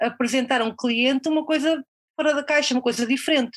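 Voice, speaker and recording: This woman talks at a fairly quick pace. Her pitch is high. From Portugal, near Coimbra. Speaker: freelance copywriter. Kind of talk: interview conversation. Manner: halting, many repetitions and fillers.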